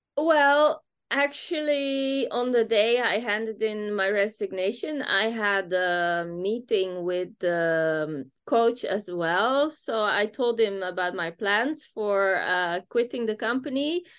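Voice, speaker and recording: The pace is very slow, with hardly any pauses. The intonation is lively. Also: woman, fairly high pitch for a woman. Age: 40s. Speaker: business founder. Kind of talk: interview.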